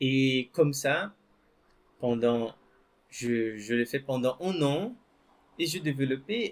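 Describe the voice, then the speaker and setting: Very slow and marked by very wide pitch swings, a man speaks with a Brazilian accent. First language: Portuguese (speaking French). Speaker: French teacher. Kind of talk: personal story told to learners. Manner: hesitant, with repetitions.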